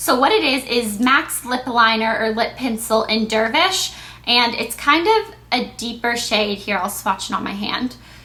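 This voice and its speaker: A woman talks fairly slowly in a fairly high pitch, with ordinary pitch variation. Noticeable background noise runs under her voice. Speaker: beauty vlogger. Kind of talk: casual product review vlog. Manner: stuttering at times.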